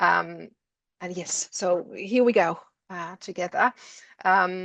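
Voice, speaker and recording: Dry and close with no echo, the voice carries vocal fry and a Finnish accent at a very slow pace. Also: woman. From Finland. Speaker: education lecturer. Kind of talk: webinar presentation.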